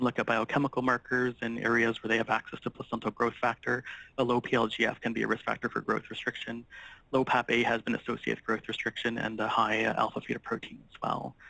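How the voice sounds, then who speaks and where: A man at medium pitch talks at a very fast pace with a bright, sharp tone and vocal fry. His intonation is monotone and flat, and the sound is dry and close with no echo. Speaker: physician specialist. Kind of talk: lecture. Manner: hesitant with fillers.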